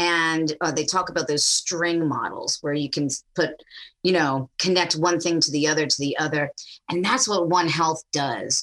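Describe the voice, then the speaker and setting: This woman has a normal speaking voice, fairly low in pitch, with fairly even intonation and an American accent. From US South, Tennessee. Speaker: university researcher. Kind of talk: casual interview chat.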